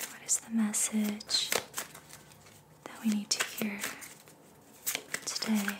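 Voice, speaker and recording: A woman whispers at a very slow pace with long, frequent pauses. Her loudness swings widely over noticeable background noise. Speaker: ASMR reiki practitioner and tarot reader. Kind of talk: ASMR reiki session, tarot reading and guided meditation. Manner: soft-spoken, slow, calming.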